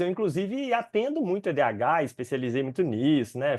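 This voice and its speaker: A man's high-pitched voice with very wide pitch swings at a fairly quick pace. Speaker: psychiatrist specializing in ADHD. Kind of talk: educational webinar. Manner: fast.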